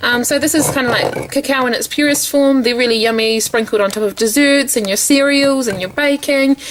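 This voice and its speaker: With a New Zealand accent, a woman talks in a high pitch with hardly any pauses over noticeable background noise. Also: ordinary pitch variation, fairly quick pace. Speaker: lifestyle vlogger. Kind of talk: casual home tour vlog.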